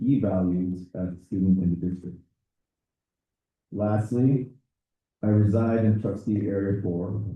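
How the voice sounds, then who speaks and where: With fairly even intonation, a man speaks at a fairly low pitch and a moderate pace. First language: Spanish. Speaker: teacher and board candidate. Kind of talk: interview answers. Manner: halting.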